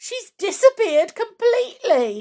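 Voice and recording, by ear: An extremely high-pitched woman's put-on character voice with a dark, mellow tone, big pitch swings and a slow pace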